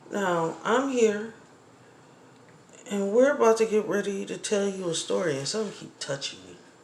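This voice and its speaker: Against audible room echo, a medium-pitched woman talks at a moderate pace with lively intonation, big swings in loudness, and long, frequent pauses. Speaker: mother telling a family story. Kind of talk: home video testimony.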